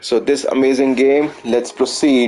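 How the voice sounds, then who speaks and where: A man with a medium-pitched voice and an Indian accent, music playing in the background. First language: Hindi. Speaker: gaming streamer. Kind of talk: live gameplay commentary. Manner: halting.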